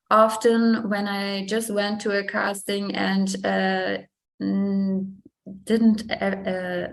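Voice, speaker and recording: A woman speaks very slowly with a German accent. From Germany. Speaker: fashion model. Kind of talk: interview. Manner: halting.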